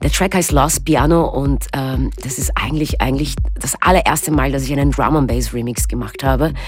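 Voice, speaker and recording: Her speech comes at a moderate speed, with clear echo from the room and background noise that is easy to notice. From Austria. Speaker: DJ and producer. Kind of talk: casual radio interview. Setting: radio studio.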